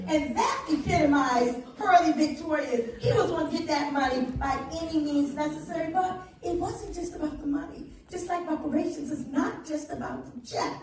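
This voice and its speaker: With an American accent, a woman talks at a moderate pace in a high pitch, with ordinary pitch variation, hardly any pauses and audible room echo. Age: 70s. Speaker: reparations advocate. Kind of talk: panel discussion.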